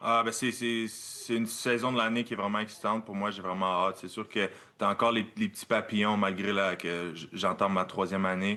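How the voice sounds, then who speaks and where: In a bright, sharp tone, a man with a fairly low pitch talks at a fairly quick pace with monotone, flat intonation. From Quebec (Victoriaville). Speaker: professional football player. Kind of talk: interview. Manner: halting.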